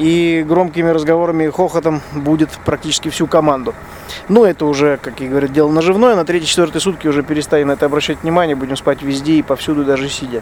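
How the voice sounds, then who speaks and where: Over noticeable background noise, a man with a fairly high pitch talks very fast with fairly even intonation. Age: 40s. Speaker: rally co-driver and podcaster. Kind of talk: spoken field diary. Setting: truck cab at a desert bivouac.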